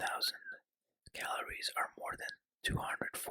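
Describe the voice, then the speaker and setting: The voice is whispering at a moderate pace. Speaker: ASMR creator. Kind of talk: ASMR whispered fact reading. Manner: whispered.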